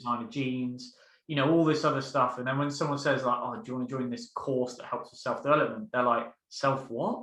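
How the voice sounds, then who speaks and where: At a fairly quick pace, a man with a normal speaking voice and a medium pitch shows ordinary pitch variation and big swings in loudness. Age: 20s. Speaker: mentoring coach. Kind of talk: casual interview.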